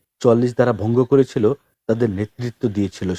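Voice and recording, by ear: A natural read-aloud voice over near silence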